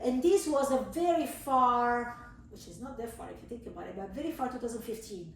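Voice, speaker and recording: A woman with an Italian accent speaks at a high pitch with lively intonation and big swings in loudness. Noticeable background noise runs underneath. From southern Italy. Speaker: cheese supplier, business owner. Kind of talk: casual interview.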